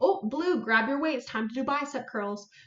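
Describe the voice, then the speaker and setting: Audible room echo surrounds a woman speaking. She goes at a fairly quick pace with lively intonation. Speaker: senior fitness educator; presenter. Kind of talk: live-streamed webinar presentation. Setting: live stream on social media. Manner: fast. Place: home room. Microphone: webcam.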